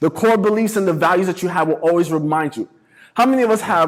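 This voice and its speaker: A man speaks with a New York accent. His tone is animated. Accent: New York City. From New York City (the Bronx). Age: 30s. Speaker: motivational speaker. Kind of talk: talk to students.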